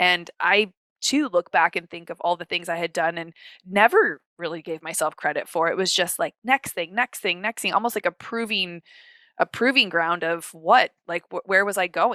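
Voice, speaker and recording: A woman's animated, bright and sharp voice, fairly low in pitch, with ordinary pitch variation and a dry, close sound with no echo on a very clean recording over a silent background. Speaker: podcast co-host. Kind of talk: casual chat. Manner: fast.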